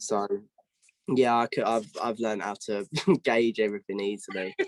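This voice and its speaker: In a southeast English accent, the speaker keeps a monotone, flat intonation at a moderate pace, the sound dry and close with no echo. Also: man, fairly low pitch for a man. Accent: southeast English, London-ish. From southeast England (Kent). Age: young. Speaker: singer-songwriter. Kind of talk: interview. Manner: halting with many restarts.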